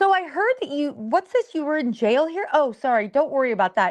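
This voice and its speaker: Her intonation lively, a woman talks at a high pitch. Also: dry, close sound with no echo. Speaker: podcast co-host. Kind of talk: casual chat. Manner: fast.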